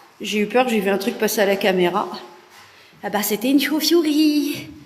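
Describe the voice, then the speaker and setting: A woman with lively intonation at a fairly slow pace, audible room echo, and noticeable background noise. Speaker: urban explorer and paranormal live streamer. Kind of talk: live stream tour. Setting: abandoned sanatorium, indoors. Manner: casual, hesitant with many fillers.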